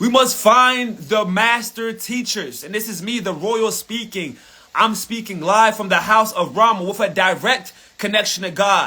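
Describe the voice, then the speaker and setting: A man shouting in a raised, projected voice, high in pitch with an animated tone and ordinary pitch variation, at a moderate pace over noticeable background noise. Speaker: spiritual motivational speaker. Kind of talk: live motivational rant. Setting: livestream. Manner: loud, yelling.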